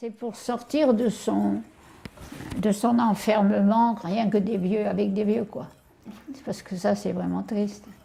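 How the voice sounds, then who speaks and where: A woman is speaking. Her pace is very slow. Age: 80s+. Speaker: elderly widow hosting a student. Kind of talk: casual chat.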